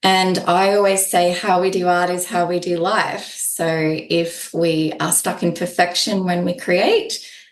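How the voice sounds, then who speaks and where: Speaking fairly slowly with hardly any pauses, a woman with an Australian accent uses a fairly low pitch and monotone, flat intonation, and audible room echo surrounds her voice. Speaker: holistic art therapist. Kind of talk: podcast interview.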